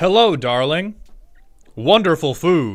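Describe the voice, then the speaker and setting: Putting on a character voice, a man speaks at a fairly high pitch with very wide pitch swings and a fairly slow pace. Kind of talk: stiff, formal, lecturing. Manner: exaggerated, mock-polite.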